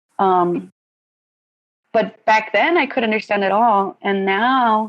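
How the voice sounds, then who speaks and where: A woman with a Spanish accent speaks at a moderate pace against a quiet background. Her pitch is fairly high, with ordinary pitch variation. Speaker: college student. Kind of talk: casual discussion of poetry.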